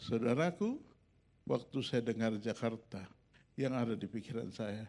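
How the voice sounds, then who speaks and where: This man's voice sits at medium pitch with ordinary pitch variation. He talks at a fairly slow pace. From Makassar, Indonesia. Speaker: pastor. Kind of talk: sermon testimony. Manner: animated storytelling.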